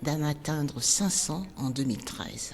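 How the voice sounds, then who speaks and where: A woman speaks at a very slow pace in a very deep, low voice. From Benin. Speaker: dance teacher, former journalist. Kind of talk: personal storytelling podcast.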